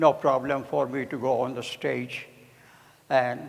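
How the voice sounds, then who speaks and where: A man's medium-pitched voice with vocal fry, very slow and monotone, with flat intonation. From India. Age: 80s+. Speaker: juggler and variety performer. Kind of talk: stage demonstration to an audience. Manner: halting.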